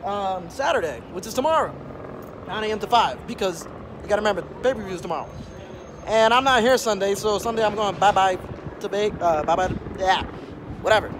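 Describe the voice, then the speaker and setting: A man with a high voice and ordinary pitch variation talks at a fairly quick pace over noticeable background noise. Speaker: vlogger. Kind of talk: casual vlog chat. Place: street. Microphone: phone near.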